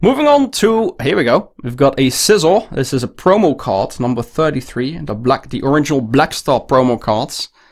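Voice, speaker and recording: A man speaks at a moderate pace with hardly any pauses. His fairly high voice swings very widely in pitch. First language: Dutch. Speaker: card collector YouTuber. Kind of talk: unboxing show-and-tell. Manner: hesitant, with fillers.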